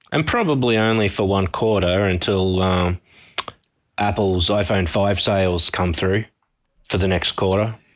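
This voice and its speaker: Fairly slow and very even in loudness, a man with an Australian accent speaks at a fairly low pitch with fairly even intonation. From Brisbane, Australia. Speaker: panelist. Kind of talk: casual chat. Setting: Skype call from distance.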